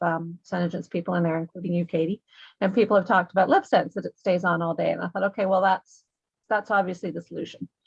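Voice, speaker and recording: A woman's medium-pitched, somewhat breathy voice with monotone, flat intonation, in a dry, close sound with no echo over a quiet background. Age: 60s. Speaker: new beauty products distributor. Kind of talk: casual chat. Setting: video call.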